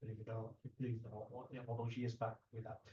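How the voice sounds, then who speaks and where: A somewhat breathy male voice, dark and mellow in tone. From UK. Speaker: martial arts channel host, interviewer. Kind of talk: interview. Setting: guest's place in Hong Kong. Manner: halting, many fillers and repeats.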